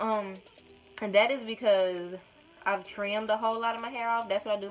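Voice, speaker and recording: A woman with a strong Alabama accent at a fairly quick pace. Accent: Deep South Alabama accent, strong. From US South, small-town Alabama. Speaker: YouTuber, hair vlogger. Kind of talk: casual vlog. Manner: words run together; rambling, hesitant.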